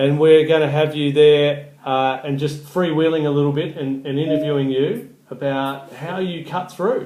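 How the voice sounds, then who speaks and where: A man speaks at a moderate pace in a fairly high voice, with fairly even intonation. He hardly pauses, and noticeable background noise sits behind him. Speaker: event host. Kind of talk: event promo interview.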